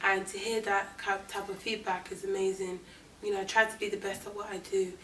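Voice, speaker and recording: Audible room echo surrounds a woman with a London accent, who speaks at a moderate pace in a medium pitch with monotone, flat intonation. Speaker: actress. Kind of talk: interview.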